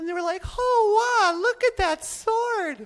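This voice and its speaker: A man puts on a cartoonish character voice. He delivers it at a fairly slow pace. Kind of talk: live stage ventriloquism act. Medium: puppet.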